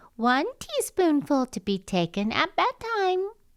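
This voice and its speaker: Fairly slow and squeaky, a female-sounding put-on character voice speaks at a high pitch with very wide pitch swings. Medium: read story. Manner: warm, cautioning.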